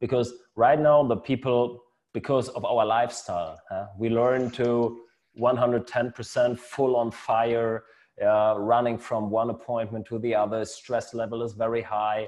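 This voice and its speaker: A man speaks at medium pitch and a fairly slow pace. His intonation stays flat and monotone. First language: German. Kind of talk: casual interview. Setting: video call. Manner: halting.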